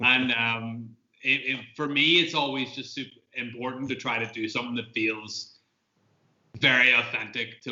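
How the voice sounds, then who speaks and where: A man speaks with a Northern Irish accent. His pace is moderate and his intonation fairly even. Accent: Northern Irish (Tyrone). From Northern Ireland, County Tyrone. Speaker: film director. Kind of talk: Q&A interview.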